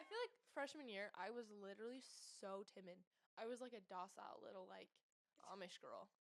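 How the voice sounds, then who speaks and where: Speaking at a fairly quick pace, a woman with an American accent uses lively intonation and a fairly high pitch. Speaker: student agriculture leader. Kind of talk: casual chat. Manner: loud.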